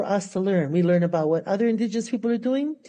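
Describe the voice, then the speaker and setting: A woman with a dark, mellow tone and a Hawaiian accent. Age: 70s. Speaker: professor. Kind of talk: panel presentation.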